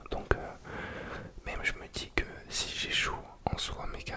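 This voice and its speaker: Whispering at a fairly slow pace in a relaxed tone, a man is heard over noticeable background noise. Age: 20s. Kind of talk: ASMR casual rambling talk. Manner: relaxed, hesitant, casual.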